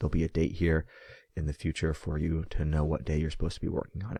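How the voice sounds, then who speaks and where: The speech moves at a very fast pace. The background is quiet. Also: man. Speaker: school teacher. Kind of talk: tutorial. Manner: casual.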